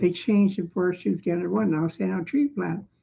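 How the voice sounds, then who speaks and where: The speaker is a woman. Her voice has vocal fry. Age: 70s. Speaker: resident making a complaint video. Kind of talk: personal testimony. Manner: rambling, repetitive filler.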